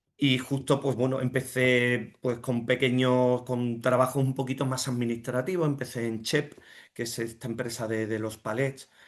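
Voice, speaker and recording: A man holds a medium pitch and a monotone, flat intonation while talking at a moderate pace. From Andalusia, Jerez de la Frontera. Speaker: finance director and entrepreneur. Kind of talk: interview. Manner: halting, many fillers and repetitions.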